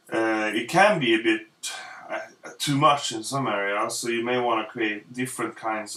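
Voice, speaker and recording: A man with a Swedish accent at a fairly slow pace, with ordinary pitch variation. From Sweden. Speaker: illustrator. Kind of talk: tutorial. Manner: halting, many fillers.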